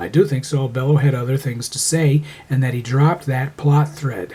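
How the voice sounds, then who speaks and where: Over noticeable background noise, a man talks at a fairly quick pace, medium pitch and ordinary pitch variation. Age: 60s. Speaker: amateur writer. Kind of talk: reading aloud.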